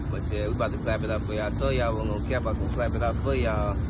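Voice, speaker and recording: A man speaks in a dry sound with no echo. Loud background noise fills the clip. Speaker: vlogger. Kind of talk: casual vlog chat. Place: street. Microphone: phone near.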